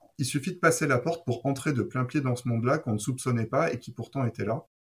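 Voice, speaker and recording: This man sounds somewhat breathy and talks at a fairly quick pace. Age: 40s. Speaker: wine shop owner. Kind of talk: interview.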